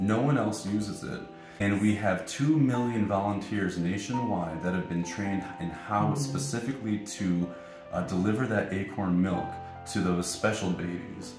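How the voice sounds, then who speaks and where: Against music in the background, a man talks in a fairly low pitch. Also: moderate pace. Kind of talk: fake news infomercial fundraiser, deadpan comedic.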